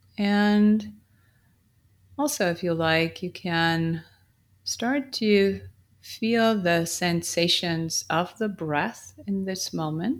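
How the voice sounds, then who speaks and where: Very slow speech with long, frequent pauses, a calm, gentle tone and lively intonation, on a very clean recording with a silent background. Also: woman, fairly low pitch for a woman. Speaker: meditation teacher. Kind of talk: guided meditation. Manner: slow, calm, gentle; soft-spoken, with pauses.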